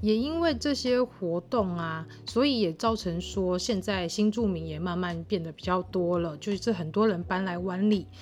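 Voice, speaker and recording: In a plain, everyday voice, a woman of medium pitch talks at a moderate pace with ordinary pitch variation and hardly any pauses. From Taiwan, Tainan (Wanli). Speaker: podcast host. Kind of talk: casual monologue.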